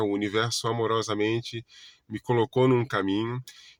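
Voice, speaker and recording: A man speaks at a fairly slow pace with a medium pitch. The recording is very clean and silent in the background, with a dry, close sound and no echo. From Brazil, Florianópolis, Santa Catarina. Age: 40s. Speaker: holistic therapist. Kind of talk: casual self-introduction monologue. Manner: halting, many self-corrections and fillers.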